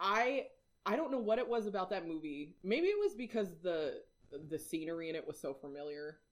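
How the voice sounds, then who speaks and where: Talking at a fairly quick pace with an American accent, a woman at medium pitch makes very wide pitch swings. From Washington, Whidbey Island. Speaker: podcast co-host. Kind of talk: casual chat.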